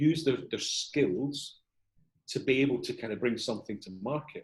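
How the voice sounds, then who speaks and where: With a Scottish accent, the speaker sounds somewhat breathy, keeping ordinary pitch variation and a moderate pace. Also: man. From Edinburgh, Scotland. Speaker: CEO and corporate trainer. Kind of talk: interview answer.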